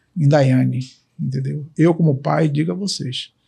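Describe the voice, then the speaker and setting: A man talks at a fairly slow pace. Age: 60s. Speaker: candidate's father. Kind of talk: interview testimonial. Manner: halting, many fillers.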